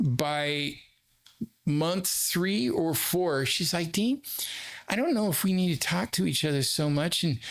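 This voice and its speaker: In a normal speaking voice, a man with a fairly high pitch speaks at a fairly slow pace with lively intonation and very even loudness. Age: 60s. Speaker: therapist. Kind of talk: casual chat. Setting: studio.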